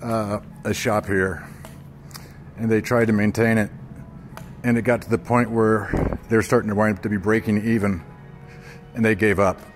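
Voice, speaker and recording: Long, frequent pauses break up a man's moderate pace as he talks in a fairly low pitch with fairly even intonation, faint music in the background. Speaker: walking vlogger. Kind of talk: casual vlog chat. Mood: disgruntled, complaining. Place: hall. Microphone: phone near.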